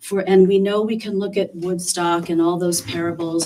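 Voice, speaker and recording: With an American accent, a woman in an unremarkable speaking voice talks at a fairly slow pace and a fairly low pitch. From western New York. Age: 60s. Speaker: public commenter, resident. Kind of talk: public comment at town meeting. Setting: town board meeting.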